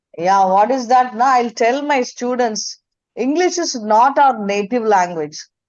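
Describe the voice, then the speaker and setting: With a Tamil accent, a woman speaks in a high pitch. Her intonation is lively. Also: fairly slow pace. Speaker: teacher. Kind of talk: question in webinar. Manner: halting.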